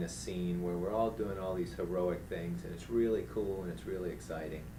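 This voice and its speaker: A man's voice with audible room echo. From New Orleans, Louisiana. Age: 50s. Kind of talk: interview conversation. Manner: animated.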